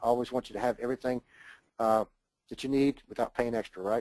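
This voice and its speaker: A man's voice at medium pitch has a dark, mellow tone, and the sound is dry and close with no echo. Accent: Southern US. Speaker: online marketer presenting a product. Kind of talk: webinar sales pitch. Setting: webinar. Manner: fast; animated.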